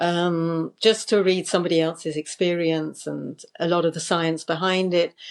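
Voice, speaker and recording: Against a quiet background, a woman with a British accent talks fairly slowly at a medium pitch. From United Kingdom. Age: 60s. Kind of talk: interview answer. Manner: hesitant, reflective.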